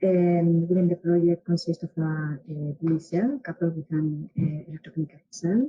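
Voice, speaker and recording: The speaker goes at a moderate pace with hardly any pauses. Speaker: webinar moderator. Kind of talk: moderating Q&A. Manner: loud.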